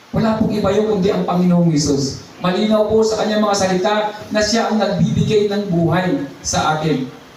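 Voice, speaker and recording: Over noticeable background noise, a man talks in an animated tone at a moderate pace with ordinary pitch variation. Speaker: preacher. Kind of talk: sermon. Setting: church. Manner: animated, exhortative preaching with praise interjections.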